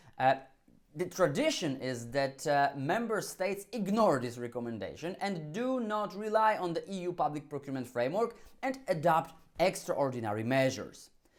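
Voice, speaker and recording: Moving at a moderate pace, a man speaks in a high voice. His pitch swings very widely. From Poland. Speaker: legal scholar. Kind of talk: conference talk. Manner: halting.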